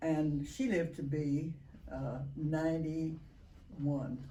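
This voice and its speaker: The voice has a dark, mellow tone and a Texan accent. Audible room echo surrounds it. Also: woman. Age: 90s. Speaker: retiree, interviewee. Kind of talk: interview.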